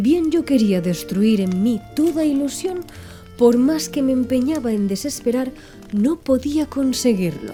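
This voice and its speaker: A woman's high voice, calm in tone, with very wide pitch swings at a fairly slow pace over background music. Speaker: audiobook narrator. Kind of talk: ASMR audiobook reading. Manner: soft-spoken, calm.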